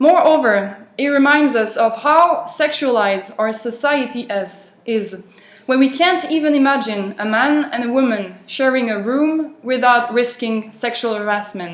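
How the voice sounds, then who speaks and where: Speech in a French accent comes at a fairly slow pace. There are hardly any pauses. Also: woman, high pitch for a woman, lively intonation. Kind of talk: speech for interpreting practice.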